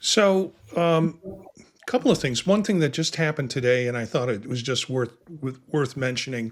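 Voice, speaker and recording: A man with an ordinary speaking voice, fairly high in pitch, at a moderate pace, with lively intonation and big swings in loudness. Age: 60s. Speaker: podcast host. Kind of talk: casual chat.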